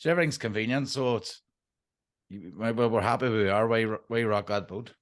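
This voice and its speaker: Against a quiet background, a man with a Derry accent speaks at a fairly quick pace. His voice is medium in pitch, with ordinary variation. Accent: Northern Irish (Derry). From Northern Ireland, Derry. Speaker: permaculture designer. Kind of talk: interview.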